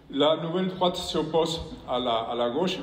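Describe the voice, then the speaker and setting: Lively intonation in a Spanish accent at a moderate pace, with noticeable background noise and audible room echo. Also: man. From Spain. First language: Spanish (speaking French). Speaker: professor and former politician. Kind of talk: conference speech. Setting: stage with audience. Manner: reading from prepared text; halting, with repetitions.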